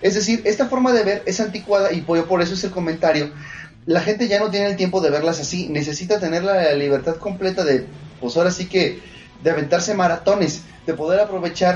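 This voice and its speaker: The speaker has a Mexican accent and a fairly quick pace. Noticeable background noise is present. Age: 30s. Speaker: anime podcast host. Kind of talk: casual chat. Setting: live stream.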